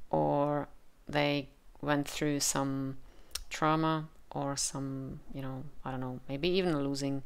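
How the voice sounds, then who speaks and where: A woman with a Czech accent speaks at a very slow pace in a very deep, low pitch. Her intonation is monotone and flat. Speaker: tarot reader. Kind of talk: tarot reading with channeled messages. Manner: halting, with frequent fillers.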